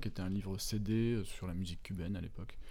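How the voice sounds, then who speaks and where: In a room with audible echo, a man with a fairly low pitch and a dark, mellow tone speaks at a fairly quick pace with fairly even intonation. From France, moved often, roots in Brittany. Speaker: children's book author and illustrator. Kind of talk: interview. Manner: halting, many fillers.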